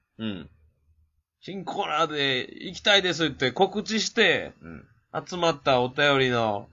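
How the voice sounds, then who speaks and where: A man with a Kansai accent speaks at a fairly slow pace and a fairly high pitch, with very wide pitch swings and big swings in loudness. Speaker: podcast co-host. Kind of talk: casual chat.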